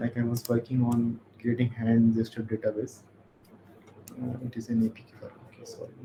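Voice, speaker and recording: A man at medium pitch talks at a fairly quick pace in a monotone, flat intonation, with long, frequent pauses and noticeable background noise. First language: not English. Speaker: workshop instructor. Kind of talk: lecture. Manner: halting.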